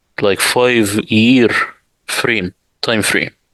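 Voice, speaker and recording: A man speaks at a fairly slow pace with an Arabic accent, his pitch fairly low and his intonation flat and monotone. The sound is dry and close, with no echo. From Middle East. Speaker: Quran translator. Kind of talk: interview.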